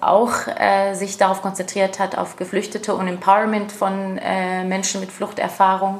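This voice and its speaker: With an Arabic accent, a woman speaks at a medium pitch over noticeable background noise. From Jordan. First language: Arabic (speaking German). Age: 30s. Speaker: refugee aid project leader. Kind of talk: interview. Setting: sitting together in a community center. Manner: hesitant with many fillers.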